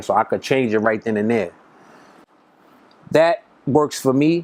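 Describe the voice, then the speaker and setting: A man with a Brooklyn accent, fairly quick pace and ordinary pitch variation. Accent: New York (Brooklyn). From Brooklyn, New York. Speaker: rapper. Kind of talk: interview. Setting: recording studio. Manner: casual, filler-heavy.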